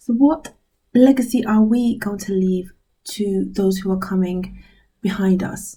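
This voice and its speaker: Dark, mellow, somewhat breathy tones in a British accent, with ordinary pitch variation and a fairly slow pace. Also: woman. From UK. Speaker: inspirational vlogger. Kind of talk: motivational talk to camera. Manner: casual, hesitant with fillers.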